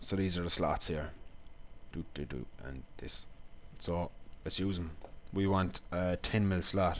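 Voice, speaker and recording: A man with an Irish accent speaks in a very deep, low voice with ordinary pitch variation. His pace is fairly slow, with long, frequent pauses. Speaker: engineering lecturer. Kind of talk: software tutorial.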